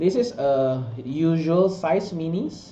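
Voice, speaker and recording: A man speaks with a non-native accent and lively intonation. There is audible room echo and music in the background. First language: not English. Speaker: art director and sculptor. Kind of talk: product walkthrough. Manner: halting, many fillers.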